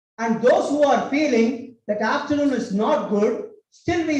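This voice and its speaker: A man with a Tamil accent speaks at an extremely high pitch with ordinary pitch variation. Audible room echo fills the recording. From Tamil Nadu, India. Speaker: cultural institute director, speaker. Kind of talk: public speech.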